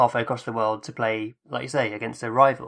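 A man speaks with an English accent against a quiet background. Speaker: podcast host. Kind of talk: casual chat.

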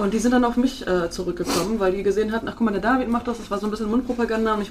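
A woman's fairly high pitch and fairly even intonation over noticeable background noise. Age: 30s. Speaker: social media marketer and photographer. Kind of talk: interview.

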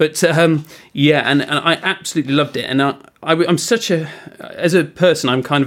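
At a fairly quick pace, a man talks with an English accent. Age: 40s. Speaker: TV news presenter. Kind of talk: casual chat.

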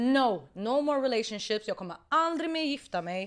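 A woman speaks with very wide pitch swings. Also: very clean recording, silent background. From Iraqi family background. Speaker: musician. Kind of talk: casual chat. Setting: studio.

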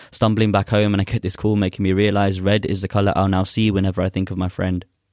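A man talks at a very fast pace in a fairly low pitch. His intonation is monotone and flat, on a very clean recording with a silent background. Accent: London. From South London, England. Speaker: spoken word poet. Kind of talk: poetry performance; casual interview chat.

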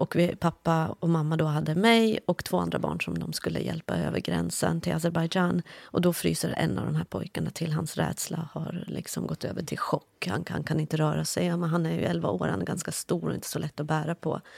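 Hardly pausing, a woman with a slight non-native accent speaks at a fairly quick pace in a dry, close sound with no echo. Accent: slight foreign accent in Swedish. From Iran, grew up partly as refugee in Afghanistan. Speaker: journalist. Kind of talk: conversation.

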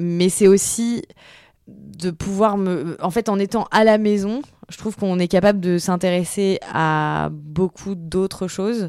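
Her pace is very slow and her pitch fairly low. The woman keeps a fairly even intonation. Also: very clean recording, silent background. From France, Tours. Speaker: journalist and podcaster. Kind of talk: interview. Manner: hesitant, many fillers.

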